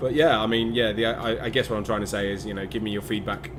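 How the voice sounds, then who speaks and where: A man with a Midlands accent and a fairly low pitch, with audible room echo and noticeable background noise. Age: 30s. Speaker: gaming YouTuber. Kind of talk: let's play commentary. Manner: halting, many fillers.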